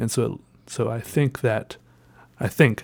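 The intonation stays fairly even, and the recording is very clean with a silent background. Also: man. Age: 20s. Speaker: solo podcaster. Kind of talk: casual solo monologue. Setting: home desk recording. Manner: rambling, hesitant with fillers.

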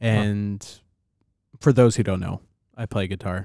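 The recording is very clean with a silent background and a dry, close sound with no echo. The pace is fairly slow. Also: man. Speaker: podcast host. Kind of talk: casual chat. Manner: normal-paced talker.

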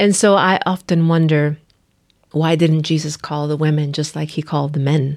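The recording is very clean, with a silent background, as a woman speaks in a very deep, low voice. Her intonation is monotone and flat, at a moderate pace. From Nicaragua. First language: Spanish. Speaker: pastor. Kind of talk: casual chat.

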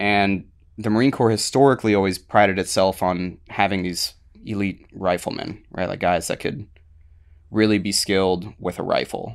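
A man with an American accent has a normal speaking voice, fairly low in pitch with fairly even intonation. He keeps a moderate pace against a quiet background. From US, Baltimore area then Florida. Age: 30s. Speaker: military veteran. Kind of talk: casual interview.

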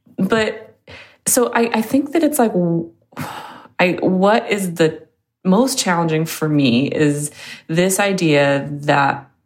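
At a fairly slow pace, a woman speaks with an American accent and lively intonation. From US West Coast. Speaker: podcast guest. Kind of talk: casual chat.

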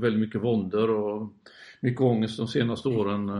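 A man speaks at medium pitch. His intonation stays monotone and flat. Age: 50s. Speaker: landscape photographer. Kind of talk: interview.

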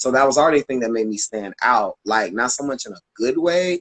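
A man talks in an ordinary speaking voice. His pitch is medium, with ordinary pitch variation. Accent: American. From Florida, Tampa. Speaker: dance teacher and choreographer. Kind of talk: casual interview. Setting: live video stream.

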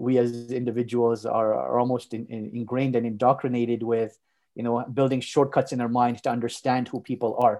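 A man speaks at a fairly quick pace in a medium pitch, his tone dark and mellow. His intonation is monotone and flat over a quiet background. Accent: Montreal. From Canada, Montreal. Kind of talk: interview. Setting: podcast.

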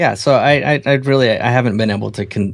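An unremarkable speaking voice from a man with an American accent, moderate pace and ordinary pitch variation. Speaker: podcast co-host, photographer. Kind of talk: casual chat.

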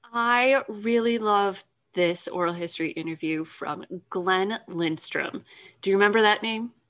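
Speaking at a fairly slow pace, a woman uses a plain, everyday voice at medium pitch with ordinary pitch variation. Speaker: podcast host. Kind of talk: casual chat.

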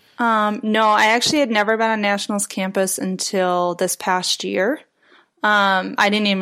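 A woman with an unremarkable speaking voice talks at a moderate pace, medium pitch and fairly even intonation. The recording is very clean with a silent background. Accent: American. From US Midwest, Chicago area. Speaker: chiropractic student intern. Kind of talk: interview.

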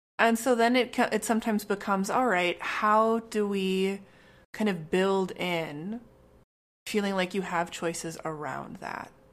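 A woman speaks at a medium pitch with ordinary pitch variation in a plain, everyday voice. The recording is very clean, with a silent background. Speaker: therapist and podcast co-host. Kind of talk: casual chat.

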